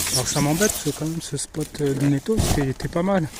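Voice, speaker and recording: A man's voice at a fairly slow pace, with ordinary pitch variation and noticeable background noise. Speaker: dumpster-diving vlogger. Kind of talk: casual vlog monologue. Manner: hesitant, many fillers.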